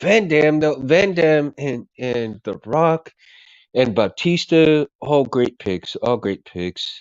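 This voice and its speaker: A man's fairly high voice at a very slow pace. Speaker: livestreamer. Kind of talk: casual chat. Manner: halting.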